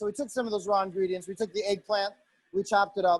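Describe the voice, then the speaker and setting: A man speaks with a high pitch and fairly even intonation. The sound is dry and close, with no echo. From Italian-American family. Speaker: chef. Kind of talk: cooking demonstration. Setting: video call. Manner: fast; hesitant, many fillers.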